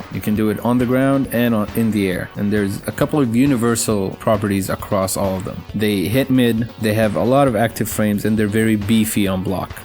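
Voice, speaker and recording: Music plays behind a man with a fairly low pitch. He talks at a fairly quick pace with hardly any pauses and fairly even intonation. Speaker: fighting game guide creator. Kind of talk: game tutorial narration.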